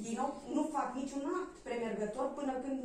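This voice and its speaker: The speech moves at a moderate pace, with light background noise and audible room echo. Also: woman. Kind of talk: explanation at a meeting. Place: meeting room.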